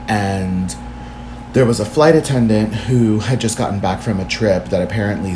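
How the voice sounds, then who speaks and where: A man with a fairly low pitch talks with very wide pitch swings, with music in the background and audible room echo. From Washington DC. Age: 20s. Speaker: dance artist and body positivity advocate. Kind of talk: casual chat.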